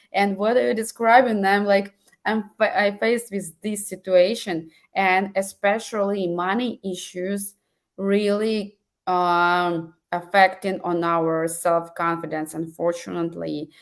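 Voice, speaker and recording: A woman speaks with a non-native accent and fairly even intonation. Her pace is fairly slow. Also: medium pitch for a woman. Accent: foreign. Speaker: webinar host. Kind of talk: webinar interview. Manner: halting.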